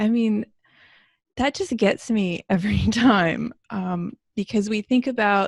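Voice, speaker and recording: A woman with a fairly high, somewhat breathy voice speaks at a fairly slow pace with ordinary pitch variation, recorded dry and close with no echo. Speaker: spiritual discussion co-host. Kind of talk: casual chat. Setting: recorded discussion.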